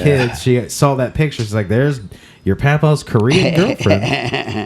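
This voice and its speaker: Over noticeable background noise, a man talks at a fairly slow pace with medium pitch and lively intonation. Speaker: podcast host. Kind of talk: casual interview questions.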